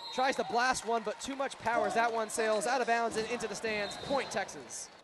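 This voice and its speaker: Over noticeable background noise, a man speaks at a moderate pace with an extremely high pitch. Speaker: sports play-by-play announcer. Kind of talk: live sports broadcast play-by-play commentary.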